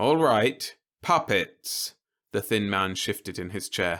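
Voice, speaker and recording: The recording is very clean, with a silent background. The voice carries vocal fry. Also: man. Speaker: audiobook narrator. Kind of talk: science fiction short story reading, bedtime listening.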